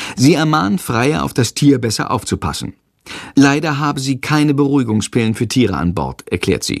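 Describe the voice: Ordinary pitch variation runs through this plain reading aloud. Nothing but quiet lies behind it.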